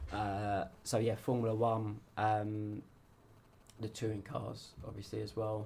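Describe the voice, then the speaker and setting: A man speaks very slowly in a monotone with flat intonation. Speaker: amateur racing driver. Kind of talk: interview. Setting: radio studio. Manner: casual, hesitant with fillers.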